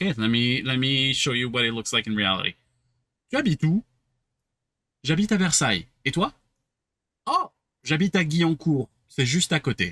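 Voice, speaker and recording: A man with a French accent speaks at a fairly quick pace with long, frequent pauses, his fairly high pitch making very wide swings. His tone is bright and sharp, and the sound is dry and close with no echo. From southern France, Cannes. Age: 30s. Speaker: French teacher. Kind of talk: language lesson.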